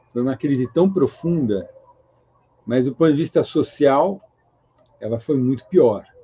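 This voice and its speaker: Speaking at a fairly slow pace with long, frequent pauses, a man with a fairly high pitch and a dark, mellow tone uses ordinary pitch variation, heard in a dry, close sound with no echo. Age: 60s. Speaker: economist. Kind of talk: interview.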